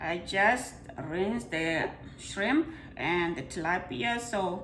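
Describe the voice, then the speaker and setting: A woman with a Botswana accent speaks at a fairly low pitch with lively intonation. The recording carries audible room echo and noticeable background noise. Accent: Botswana accent, kept. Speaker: home cooking video host. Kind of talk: cooking tutorial. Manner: casual, chatty.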